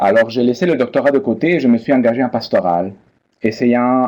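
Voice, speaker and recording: A man talks at a moderate pace with a Spanish accent. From Peru. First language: Spanish (speaking French). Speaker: biblical studies professor. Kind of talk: lecture. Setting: online seminar. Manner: formal.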